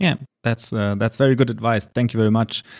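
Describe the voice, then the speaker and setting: A man with a German accent is heard in a very clean recording with a silent background and a dry, close sound with no echo. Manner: halting, hesitant with fillers.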